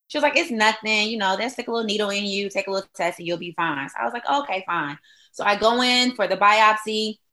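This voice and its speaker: A woman with an American accent speaks very fast at a fairly high pitch. Her tone is bright and sharp, and her intonation is lively. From Detroit, Michigan. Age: 30s. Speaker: radio host and breast cancer survivor. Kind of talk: interview testimony.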